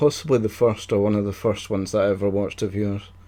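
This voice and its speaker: This voice has a Scottish accent and a dark, mellow tone. It moves at a very fast pace with fairly even intonation. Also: man. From Scotland. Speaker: quiz show host. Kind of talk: casual chat.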